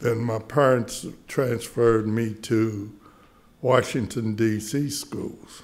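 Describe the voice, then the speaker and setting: Very slow, fairly even-toned speech from a man. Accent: American. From US South. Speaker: local historian. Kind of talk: panel discussion. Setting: stage with audience. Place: hall. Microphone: podium.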